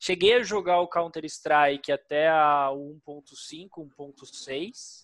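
A man talks at a very slow pace in a fairly high voice. He hardly pauses at all. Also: ordinary pitch variation. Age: 30s. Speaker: esports team founder. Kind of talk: interview.

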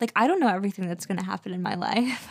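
A woman with a Wisconsin accent, medium pitch and ordinary pitch variation. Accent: Wisconsin accent on certain words. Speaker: podcast co-host. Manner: casual, heavy use of "like" as filler.

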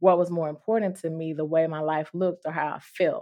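A woman speaks in a Mississippi accent. The background is quiet. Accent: US Southern (Mississippi). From Mississippi, Durant. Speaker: nurse practitioner. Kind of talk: casual chat.

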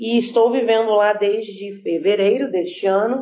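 A woman talks at a moderate pace with ordinary pitch variation. She has a normal speaking voice. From Brazil, Espírito Santo (Vitória). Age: 20s. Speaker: missionary. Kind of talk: podcast interview.

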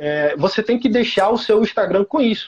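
This man speaks at a high pitch. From Teresina, Piauí, Brazilian Northeast. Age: 20s. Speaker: digital marketing creator for construction. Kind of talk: live stream interview.

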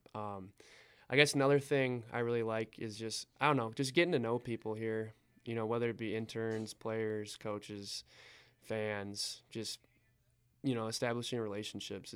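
Recorded very cleanly against a silent background, a man with an American accent uses a normal speaking voice, medium pitch, fairly even intonation and a moderate pace. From Wisconsin (Eau Claire). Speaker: sports team assistant manager. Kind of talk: casual interview.

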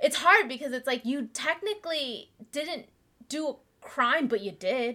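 A woman speaks at a fairly slow pace in a raised, projected voice, high-pitched and bright and sharp, with lively intonation. The recording is very clean with a silent background. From United States (immigrant family from Vietnam). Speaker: podcast co-host. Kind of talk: casual chat.

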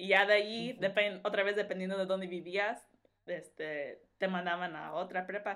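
At a moderate pace, a woman speaks in an ordinary speaking voice at medium pitch with fairly even intonation. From Los Angeles, California (Mexican-born). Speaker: wedding dress designer. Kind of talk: casual chat.

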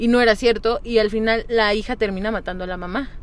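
Speaking at a moderate pace, a woman has a fairly high pitch, an unremarkable speaking voice and ordinary pitch variation. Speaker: podcast co-host. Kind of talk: casual chat.

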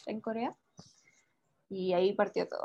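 The delivery comes at a fairly slow pace. Its tone sounds dark and mellow. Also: woman. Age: 20s. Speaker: entrepreneur. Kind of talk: casual interview.

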